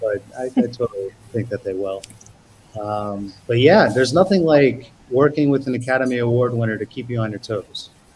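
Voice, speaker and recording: Somewhat breathy and medium in pitch, a man speaks at a moderate pace with an American accent. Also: ordinary pitch variation. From US, Brooklyn, New York. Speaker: actor. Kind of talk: interview.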